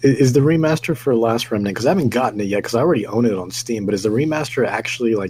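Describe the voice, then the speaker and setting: Amid noticeable background noise, a man speaks at a very fast pace, his pitch medium and its variation ordinary. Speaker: gaming podcast co-host, works at a game store. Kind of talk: casual chat.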